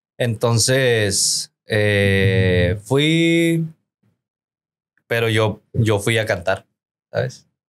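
On a very clean recording with total background silence, a man talks with normal rise and fall in pitch. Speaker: singer and podcaster. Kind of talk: casual chat. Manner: casual, slangy, relaxed; sometimes stutters.

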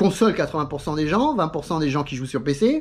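Against a quiet background, a man talks at a fairly quick pace in an animated, somewhat breathy voice. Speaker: YouTuber on sim racing. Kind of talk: casual vlog monologue. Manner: fast. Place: home room. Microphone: phone near.

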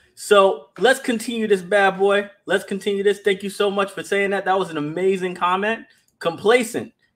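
At a moderate pace, a man is talking. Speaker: livestream host. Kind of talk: livestream commentary reading chat comments. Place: home room.

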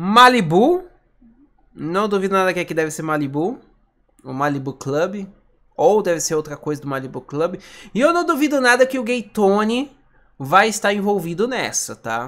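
Against a quiet background, a man with a high-pitched, bright, sharp tone speaks with very wide pitch swings and long, frequent pauses. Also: moderate pace. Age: 20s. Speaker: gaming YouTuber; gaming streamer. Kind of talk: video reaction commentary. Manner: animated. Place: home room.

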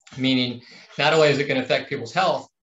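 A man talks with ordinary pitch variation. Room echo is audible. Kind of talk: interview answer. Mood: earnest, concerned. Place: office. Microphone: video call.

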